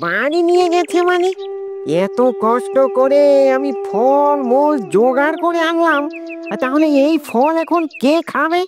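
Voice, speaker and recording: In a cartoonish character voice pitched high, the speaker goes at a moderate pace over faint background music. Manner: fast, wheedling.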